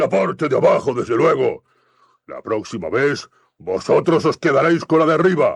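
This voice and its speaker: A man performs in a put-on character voice. He is loud. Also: moderate pace, dry, close sound with no echo. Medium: read story. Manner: loud, blustering, quick to rage.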